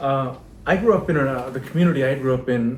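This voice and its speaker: Audible room echo surrounds a man speaking at a moderate pace in a Pennsylvania accent with lively intonation. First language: Pennsylvania Dutch. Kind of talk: casual chat.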